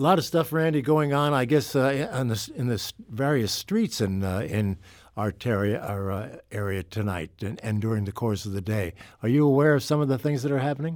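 On a very clean recording with a silent background, a man with an American accent and a plain, everyday voice talks at a moderate pace and medium pitch with lively intonation. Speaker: radio talk show host. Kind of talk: radio interview. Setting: studio. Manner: conversational.

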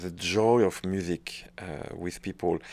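A man with a French accent speaks at a very slow pace on a very clean recording with a silent background. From northern France. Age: 40s. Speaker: orchestra conductor. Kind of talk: interview. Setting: office, not a studio. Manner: cheerful, talkative.

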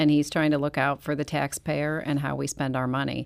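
A woman speaks with a Midwestern American accent. Her pitch is very deep and low. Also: very clean recording, silent background. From St. Louis County, Missouri. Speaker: county councilwoman. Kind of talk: interview. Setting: studio.

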